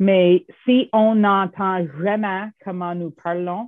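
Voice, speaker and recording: A woman with an English accent speaks at a fairly low pitch. Her pace is very slow. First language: English (speaking French). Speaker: professor. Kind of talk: interview. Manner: halting.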